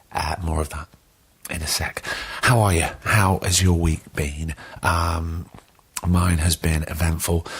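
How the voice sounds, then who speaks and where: Speaking fairly slowly with long, frequent pauses, a man has a very deep, low pitch and a somewhat breathy sound. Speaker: podcast host. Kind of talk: casual chat. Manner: animated.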